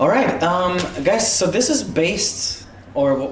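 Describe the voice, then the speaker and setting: A non-native accent against noticeable background noise. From Europe. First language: not English. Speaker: YouTube channel co-host. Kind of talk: casual chat.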